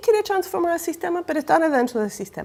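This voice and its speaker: In very wide pitch swings, a woman's voice climbs and drops. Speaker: academic speaker on citizen participation. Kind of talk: panel talk. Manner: hesitant, many fillers.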